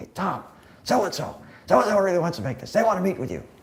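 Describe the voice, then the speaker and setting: A man's put-on character voice, hoarse and high, delivered at a very fast pace with big swings in loudness. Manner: excited.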